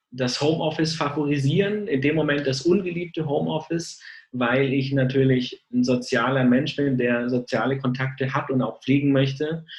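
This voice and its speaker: Somewhat breathy, a man talks at medium pitch with ordinary pitch variation. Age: 30s. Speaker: sales engineer. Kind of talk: interview. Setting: video call. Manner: hesitant, many filler sounds.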